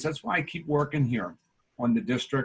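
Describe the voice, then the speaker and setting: A somewhat breathy man at a fairly high pitch, lively in intonation, at a moderate pace. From US Northeast, Delaware County, Pennsylvania. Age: 60s. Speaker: local business owner and community volunteer. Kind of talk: video call interview.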